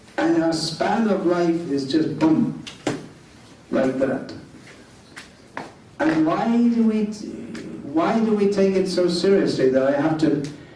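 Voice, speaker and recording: A man's high voice at a very slow pace, with long, frequent pauses, lively intonation and very even loudness, plus audible room echo and noticeable background noise. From England. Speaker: monk lecturer. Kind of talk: lecture.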